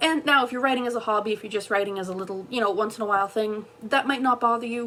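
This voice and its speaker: Against noticeable background noise, a woman speaks very fast at a fairly high pitch with fairly even intonation. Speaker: self-published fantasy author. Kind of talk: tutorial.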